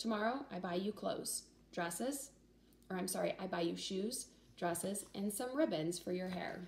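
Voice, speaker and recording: A woman uses a put-on character voice that is raspy and set at a medium pitch. She moves at a moderate pace with lively intonation. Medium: read story. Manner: clipped broken phrases.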